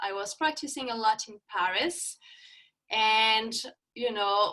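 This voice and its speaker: A woman with a French accent speaks at a fairly slow pace, her fairly high voice bright and sharp in tone. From France. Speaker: yoga instructor. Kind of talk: interview. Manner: halting.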